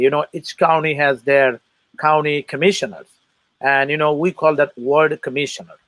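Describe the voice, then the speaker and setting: The speaker has a Bangladeshi accent, and the sound is dry and close with no echo. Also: man. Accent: foreign accent, Bangladeshi. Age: 40s. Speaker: political candidate and military veteran. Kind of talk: interview. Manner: halting, many fillers.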